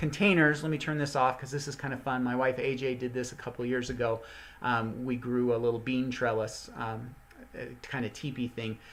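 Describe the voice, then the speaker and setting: At a fairly quick pace, a man with a medium pitch and fairly even intonation talks in a normal speaking voice. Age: 50s. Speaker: gardening channel host. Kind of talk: live online teaching session. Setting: live stream. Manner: casual, conversational with many fillers.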